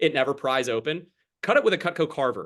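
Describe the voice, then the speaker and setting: At a very fast pace, a man with a fairly high pitch talks in an animated tone with ordinary pitch variation. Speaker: sales trainer. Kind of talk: sales training call.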